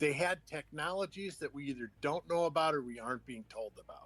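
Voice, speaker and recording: This is a man with an ordinary speaking voice, fairly high in pitch, with ordinary pitch variation. He talks at a fairly quick pace, and the sound is dry and close with no echo. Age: 60s. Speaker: podcast guest, UFO enthusiast. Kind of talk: casual chat.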